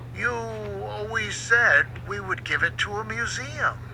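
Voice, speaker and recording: Over loud background noise, a man puts on a character voice at medium pitch and a fairly slow pace. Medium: read story.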